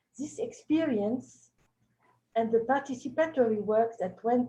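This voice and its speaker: Her fairly high-pitched voice, with a dark, mellow tone and a French accent, moves at a moderate pace with ordinary pitch variation. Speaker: cultural heritage expert. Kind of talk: webinar presentation. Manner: halting.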